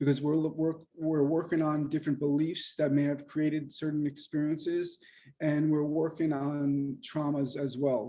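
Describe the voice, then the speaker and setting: Over a quiet background, a dark, mellow voice speaks with monotone, flat intonation. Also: man. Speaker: acupuncturist and mind-body teacher. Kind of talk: lecture. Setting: video call. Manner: fast.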